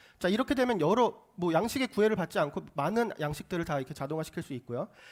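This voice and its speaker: Racing at a very fast pace, a man speaks in a high pitch with very wide pitch swings. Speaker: startup presenter pitching AI solution. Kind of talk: pitch presentation with Q&A.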